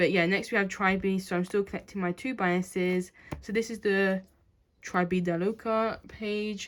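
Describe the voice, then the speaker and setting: In a very clean recording with a silent background, a woman speaks at a medium pitch with fairly even intonation. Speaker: kpop collector YouTuber. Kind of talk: casual collection update vlog. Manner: fast.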